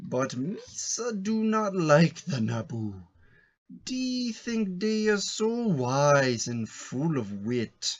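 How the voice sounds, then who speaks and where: In a put-on character voice, a man talks at a very slow pace, pitched high with very wide pitch swings. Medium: read story.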